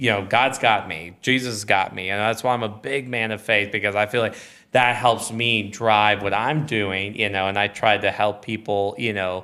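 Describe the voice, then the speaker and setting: Energetic and with hardly any pauses, a man with a fairly low pitch talks at a moderate pace in a Texan accent. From Texas, small town outside Austin. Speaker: podcast guest, businessman and father. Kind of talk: casual interview chat. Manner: loud, energetic.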